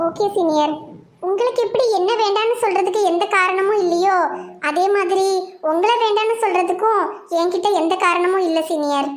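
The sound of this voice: A cartoonish character voice that sounds female. The pitch is extremely high for a woman. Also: moderate pace.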